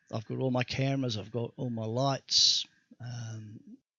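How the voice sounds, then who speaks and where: At a moderate pace, a man mumbles with fairly even intonation. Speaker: 3D graphics tutorial maker. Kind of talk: software tutorial. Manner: mumbling; halting.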